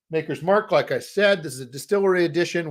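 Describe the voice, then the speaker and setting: A man's voice is heard. Nothing else sounds in the very clean recording, its background silent. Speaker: board game designer and company owner. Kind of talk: casual livestream chat. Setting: live stream. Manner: fast; hesitant with many fillers.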